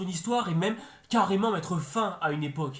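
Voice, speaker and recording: A man's high-pitched, animated voice with lively intonation, fairly quick in pace, over noticeable background noise. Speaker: YouTube film and series reviewer. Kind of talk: video review commentary. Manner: fast; animated, exasperated.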